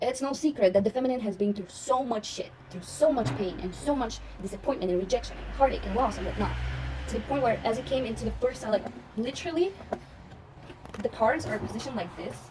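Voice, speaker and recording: Amid noticeable background noise, a woman talks in an animated tone at a very fast pace. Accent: non-native. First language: not English. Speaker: tarot reader. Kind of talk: tarot reading monologue.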